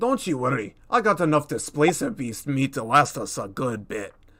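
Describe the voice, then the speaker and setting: Someone puts on a character voice at a moderate pace. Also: man, fairly high pitch for a man. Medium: actual play. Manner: blunt, plain-spoken.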